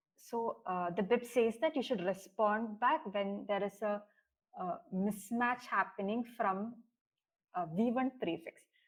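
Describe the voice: Fairly slow delivery with ordinary pitch variation. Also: woman, medium pitch for a woman.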